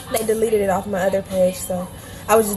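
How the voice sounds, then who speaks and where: Music is heard behind the speaker. A woman goes at a very fast pace. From US South, Atlanta. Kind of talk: tutorial. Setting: livestream with music playing. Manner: casual, chatty.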